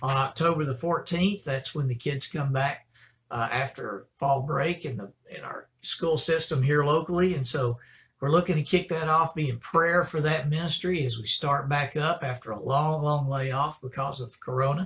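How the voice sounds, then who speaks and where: The speaker is a man with ordinary pitch variation. He talks at a moderate pace. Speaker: pastor. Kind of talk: church announcements. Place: office. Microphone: webcam.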